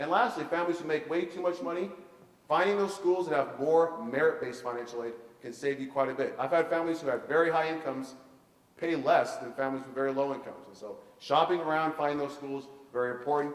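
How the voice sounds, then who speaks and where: The voice runs at a very fast pace with ordinary pitch variation and big swings in loudness. Noticeable background noise and audible room echo are present. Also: man, fairly high pitch for a man. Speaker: college funding consultant. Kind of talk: seminar presentation.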